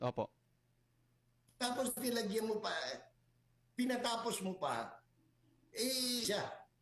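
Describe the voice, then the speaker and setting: A man speaks at a very slow pace with an extremely high pitch and fairly even intonation. His loudness stays very even, broken by long, frequent pauses. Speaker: political commentator. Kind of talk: casual chat.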